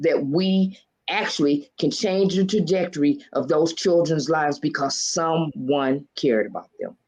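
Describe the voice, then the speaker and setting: This woman has a fairly low voice and an unremarkable speaking voice. She talks at a fairly slow pace with ordinary pitch variation. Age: 60s. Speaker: author and motivational speaker. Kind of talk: casual interview chat.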